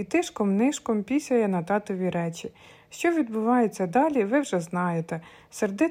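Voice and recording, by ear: A natural voice reading aloud, the intonation lively throughout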